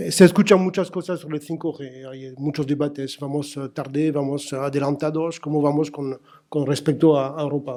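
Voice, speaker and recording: A man with a French accent speaks in a dark, mellow tone with fairly even intonation. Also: fairly high pitch for a man, moderate pace, hardly any pauses. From France. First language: French (speaking Spanish). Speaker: telecom industry executive. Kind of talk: conference panel talk. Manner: halting, many fillers and repetitions.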